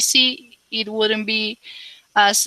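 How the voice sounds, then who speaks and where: A woman speaks with a slight non-native accent in a dry, close sound with no echo. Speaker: English learner. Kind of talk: conversation practice. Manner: halting.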